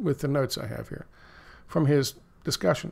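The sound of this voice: A man in an American accent, slightly mellow in tone, at a moderate pace.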